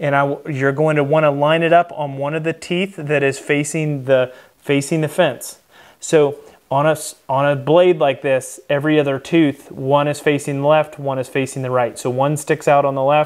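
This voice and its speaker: Flat, monotone intonation runs at a moderate pace over a quiet background. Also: man. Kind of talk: tutorial. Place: workshop.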